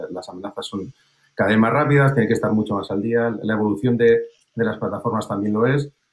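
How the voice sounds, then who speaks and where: Very fast speech moves along with fairly even intonation. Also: man. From Spain. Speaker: sales director. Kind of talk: panel discussion. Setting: video call. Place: home room. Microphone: webcam.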